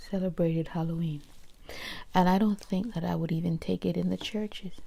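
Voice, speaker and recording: The speaker is whispering and soft-spoken. The pace is fairly quick. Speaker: ASMR creator. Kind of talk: casual talk to camera. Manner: soft-spoken, whispered.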